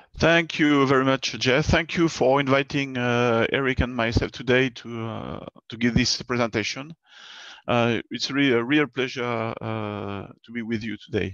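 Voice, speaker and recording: With a French accent, a man at a medium pitch speaks at a moderate pace with ordinary pitch variation and big swings in loudness, recorded dry and close with no echo against a quiet background. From southern France, Bordeaux. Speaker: space agency engineer. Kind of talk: online presentation. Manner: hesitant, many fillers.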